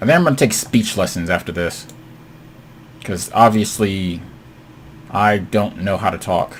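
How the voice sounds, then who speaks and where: Over noticeable background noise, a man with a fairly low pitch talks at a moderate pace, leaving long, frequent pauses. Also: ordinary pitch variation. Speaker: gaming video creator. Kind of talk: gameplay commentary. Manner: animated.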